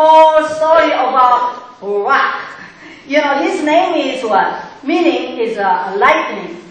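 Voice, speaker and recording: An animated woman with a high-pitched voice talks amid strong room echo. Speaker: pastor. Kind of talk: sermon. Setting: church. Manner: animated, call-and-response, halting. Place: church.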